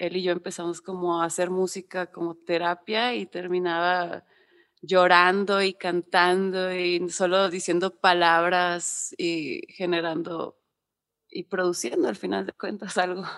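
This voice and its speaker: The speech comes at a fairly slow pace with monotone, flat intonation over a quiet background. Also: woman, fairly low pitch for a woman. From Monterrey, northern Mexico. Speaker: music manager and booker. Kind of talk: casual interview chat.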